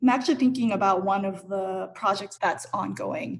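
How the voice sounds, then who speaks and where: A woman's fairly quick, medium-pitched voice in an American accent, with vocal fry and ordinary pitch variation. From US West Coast, Los Angeles. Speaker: arts center director. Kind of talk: panel discussion. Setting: video call.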